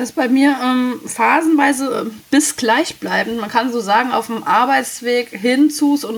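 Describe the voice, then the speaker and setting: High-pitched female speech at a fairly slow pace, ordinary pitch variation, and noticeable background noise. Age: 30s. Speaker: caller. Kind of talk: casual chat.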